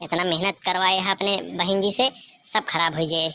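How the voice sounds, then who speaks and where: A woman puts on a character voice at medium pitch, talking very fast with very even loudness. Her intonation stays fairly even, and the sound is dry and close with no echo. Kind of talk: rustic comedy sketch. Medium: comedy sketch. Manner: grumbling, fast, teasing.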